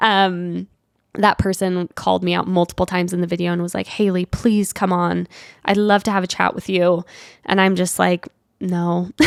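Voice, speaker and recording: A woman of medium pitch speaks at a moderate pace in a monotone, flat delivery, on a very clean recording with a silent background and a dry, close sound with no echo. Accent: Utah. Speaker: podcast host. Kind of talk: casual monologue, solo podcast. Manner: casual, filler-heavy (like, um).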